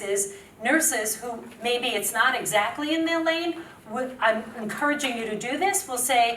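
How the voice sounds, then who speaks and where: A New York accent at a moderate pace, with very wide pitch swings and audible room echo. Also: woman. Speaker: public health nurse and media strategist. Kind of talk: conference talk.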